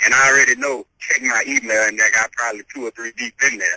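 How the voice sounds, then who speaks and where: A man speaks fairly quickly with a slight Louisiana accent. The recording is dry and close, with no echo. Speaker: hip hop artist. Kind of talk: interview.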